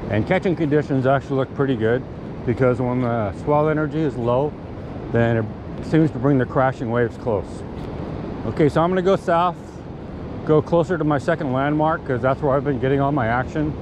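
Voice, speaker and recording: Over noticeable background noise, a man talks at a fairly quick pace with ordinary pitch variation, the sound dry and free of echo. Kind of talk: casual vlog chat. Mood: hopeful, upbeat. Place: beach. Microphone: phone near.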